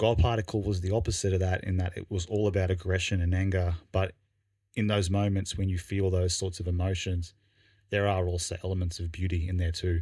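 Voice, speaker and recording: A man with an Australian accent, very deep and low in pitch, dark and mellow in tone, somewhat breathy, monotone and flat, at a fairly quick pace on a very clean recording with a silent background. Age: 30s. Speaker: podcast co-host. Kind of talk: casual chat. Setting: studio.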